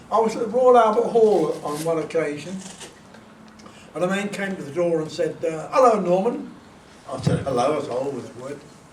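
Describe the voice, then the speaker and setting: At a moderate pace, a man speaks at a high pitch with lively intonation, big swings in loudness, and long, frequent pauses. Audible room echo and noticeable background noise fill the recording. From northern England. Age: 80s+. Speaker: author and composer. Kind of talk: talk to an audience. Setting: event with audience. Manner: halting.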